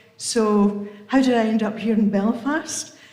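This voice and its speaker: Through noticeable background noise and audible room echo, a woman speaks at a medium pitch with fairly even intonation. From England. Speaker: member of a religious community. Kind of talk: casual talk at a book launch. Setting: event with live audience, livestreamed.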